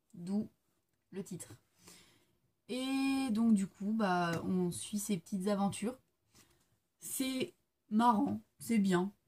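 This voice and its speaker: A woman's very slow, somewhat breathy voice, dark and mellow in tone, medium in pitch, with ordinary pitch variation and long, frequent pauses. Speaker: book reviewer. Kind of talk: casual video monologue, book review. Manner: hesitant, many fillers.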